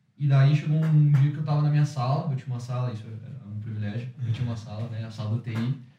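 Very fast and somewhat breathy, a man speaks in a dark, mellow tone with fairly even intonation. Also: medium pitch for a man. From Curitiba, southern Brazil. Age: 20s. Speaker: entrepreneur, former exchange student. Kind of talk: casual interview. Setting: studio with small audience.

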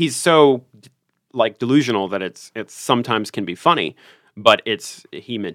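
With an unremarkable speaking voice, a man talks at a moderate pace and medium pitch with lively intonation, recorded very cleanly against a silent background with a dry, close sound and no echo. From US South, Richmond, Virginia. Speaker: tabletop role-playing game enthusiast. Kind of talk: casual interview chat.

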